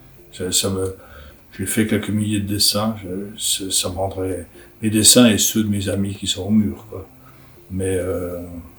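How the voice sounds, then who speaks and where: Audible room echo surrounds a man's very deep, low voice. He speaks at a very slow pace in a monotone, flat intonation. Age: 60s. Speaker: writer and illustrator. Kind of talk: interview answers. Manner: halting, many repetitions.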